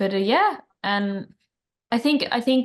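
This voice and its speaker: A woman with a Norwegian accent and ordinary pitch variation. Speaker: band singer. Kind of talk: interview.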